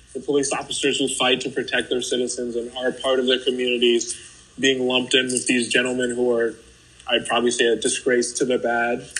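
A fairly quick, monotone delivery with flat intonation and an American accent over noticeable background noise. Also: man, medium pitch for a man. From Haiti, raised in the US. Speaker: interview guest. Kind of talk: personal testimony in interview. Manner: casual, uses many fillers.

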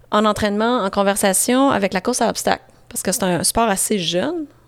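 A woman with a Quebec accent, fairly high in pitch, with lively intonation and a moderate pace. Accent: Québécois French. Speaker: endurance athlete and coach. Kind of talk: casual interview.

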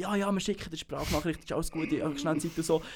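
Speaking very fast, a man with a Bernese accent uses a fairly high pitch. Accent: Bernese Swiss German. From Switzerland, Bernese Seeland. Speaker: podcast host. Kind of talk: casual chat.

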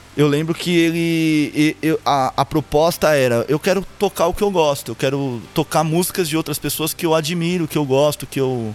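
Over music in the background, a man with a fairly high pitch speaks at a moderate pace and a very even loudness, with ordinary pitch variation and hardly any pauses. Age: 30s. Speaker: purchasing professional, grandson of a singer. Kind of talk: casual interview chat. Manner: halting, repeats words often.

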